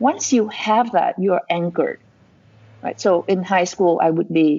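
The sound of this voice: Her tone is dark and mellow with a slightly husky edge. This woman speaks at a fairly low pitch and a fairly slow pace. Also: ordinary pitch variation.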